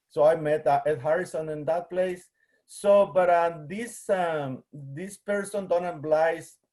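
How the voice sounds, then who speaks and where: A man with a Guatemalan accent talks in a high pitch at a fairly slow pace and with fairly even intonation, in a very clean recording with a silent background. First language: Spanish. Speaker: museum collections manager, biologist. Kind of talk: presentation. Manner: halting, many fillers.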